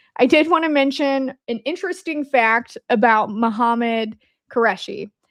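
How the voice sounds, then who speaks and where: A woman's high-pitched voice with an Indiana accent, lively intonation and a moderate pace. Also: quiet background. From Indiana, US Midwest. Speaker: podcast host. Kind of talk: casual livestream commentary. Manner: conversational, hesitant with fillers.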